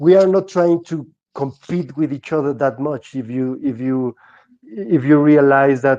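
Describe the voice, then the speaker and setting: In a Mexican accent, a man speaks with a dark, mellow tone, and the sound is dry and close with no echo. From Mexico. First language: Spanish. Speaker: Bitcoin artist. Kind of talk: podcast interview. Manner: halting, many repetitions.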